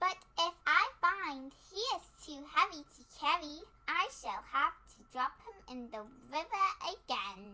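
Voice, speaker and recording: Putting on a character voice, a woman speaks at an extremely high pitch and a fairly slow pace, with very wide pitch swings and big swings in loudness. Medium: read story. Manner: kindly, straightforward.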